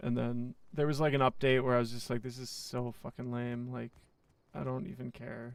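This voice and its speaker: An ordinary speaking voice from a man, medium in pitch, with ordinary pitch variation and a moderate pace. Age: 20s. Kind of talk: casual chat. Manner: casual, profane.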